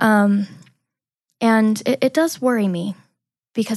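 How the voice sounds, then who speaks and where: This woman's voice sits at a medium pitch and sounds somewhat breathy. Her pitch varies in an ordinary way. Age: 20s. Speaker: abuse survivor sharing her story. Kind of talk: testimony. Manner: hesitant, many fillers.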